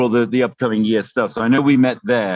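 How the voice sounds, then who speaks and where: A man speaks with an American accent. His pitch is medium, with ordinary pitch variation. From England. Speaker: race director. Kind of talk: interview. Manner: casual.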